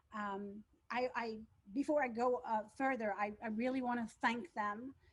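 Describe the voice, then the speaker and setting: A woman speaks with a French accent at a moderate pace. Her voice sits fairly high, with fairly even intonation. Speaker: school teacher. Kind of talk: school presentation. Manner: halting.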